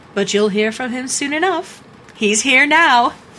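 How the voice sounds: A woman puts on a character voice with a high pitch and a bright, sharp tone. Her intonation is lively, and her pace is fairly slow.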